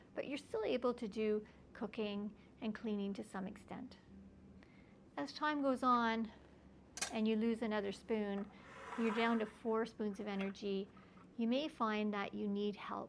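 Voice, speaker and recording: A woman speaks at a fairly slow pace in a fairly high pitch, her intonation fairly even. Long pauses come often. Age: 60s. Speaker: palliative care physician. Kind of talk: educational talk.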